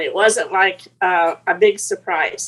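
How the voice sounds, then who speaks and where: With an American accent, a woman speaks at a very slow pace using lively intonation. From Arizona. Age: 80s+. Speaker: retired business founder. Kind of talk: interview.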